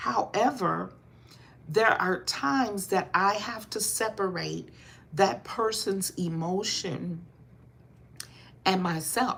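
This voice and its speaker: A woman's voice with vocal fry and lively intonation, very slow with long and frequent pauses. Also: medium pitch for a woman. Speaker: motivational speaker. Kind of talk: motivational talk. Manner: rises in volume when passionate.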